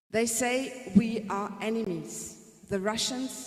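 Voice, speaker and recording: Audible room echo surrounds the voice. It moves at a very slow pace with ordinary pitch variation. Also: woman. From Germany. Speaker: music teacher. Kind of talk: presentation. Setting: conference with audience.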